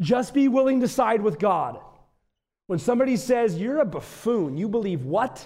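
A man's high, dark and mellow voice with an American accent, lively intonation and a moderate pace, in audible room echo. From US Midwest, northeastern Wisconsin. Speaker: visiting pastor. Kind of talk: sermon.

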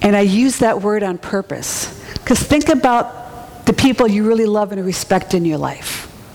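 Fairly slow speech from a woman, medium in pitch with ordinary variation, amid noticeable background noise. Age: 40s. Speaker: preacher. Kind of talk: sermon.

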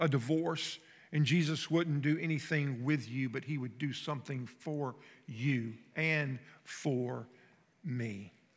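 A man with a Southern US accent talks at a fairly slow pace and a fairly high pitch, with ordinary pitch variation, in a very clean recording with a silent background. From North Florida. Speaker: pastor. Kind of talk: sermon. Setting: church. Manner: conversational.

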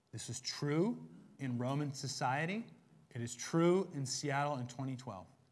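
A man speaks in an animated tone with lively intonation. His voice is somewhat breathy. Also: medium pitch for a man, fairly slow pace. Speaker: pastor. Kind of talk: sermon. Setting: church.

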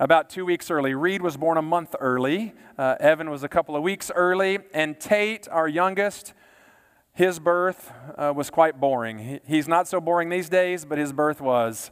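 A fairly high-pitched man in a Texan accent, ordinary pitch variation, moderate pace. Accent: Texan American. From Texas, Baytown area. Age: 40s. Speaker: pastor. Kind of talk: sermon.

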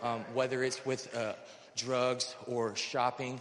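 Noticeable background noise sits under this man's voice. He speaks at a medium pitch in a flat monotone. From North Carolina. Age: 30s. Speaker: recovery program resident. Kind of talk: testimony. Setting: church service. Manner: halting.

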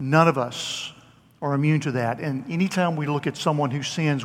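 A man with a normal speaking voice talks at a fairly high pitch with fairly even intonation. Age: 60s. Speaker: pastor. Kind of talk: sermon. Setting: church.

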